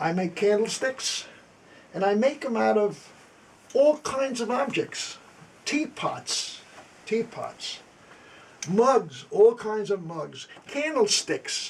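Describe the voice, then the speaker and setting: Over noticeable background noise, a man with a high pitch talks at a very slow pace with lively intonation and long, frequent pauses. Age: 80s+. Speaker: antiques restorer and Korean War veteran. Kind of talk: tutorial. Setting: workshop.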